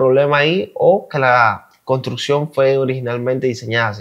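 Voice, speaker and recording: Using an unremarkable speaking voice, a man keeps to a moderate pace. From Cuba. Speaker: YouTube reaction creator. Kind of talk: casual reaction commentary.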